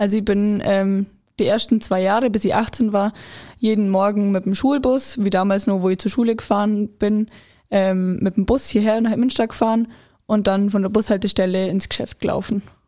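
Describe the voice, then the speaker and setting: In a very clean recording with a silent background, a woman speaks in a dark, mellow tone with monotone, flat intonation and very even loudness. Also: medium pitch for a woman, moderate pace. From Allgäu, Bavaria. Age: young. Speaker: trained sales assistant. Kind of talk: interview.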